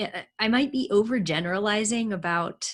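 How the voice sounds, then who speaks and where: Somewhat breathy and swinging very widely in pitch, a woman talks at a fairly slow pace over a very clean recording with a silent background. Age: 40s. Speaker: interviewer. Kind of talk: interview.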